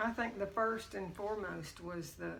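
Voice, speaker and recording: A woman talks at a moderate pace, her voice carrying audible room echo amid noticeable background noise. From Texas. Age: 70s. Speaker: grandmother interviewed about her life. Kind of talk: family oral history interview.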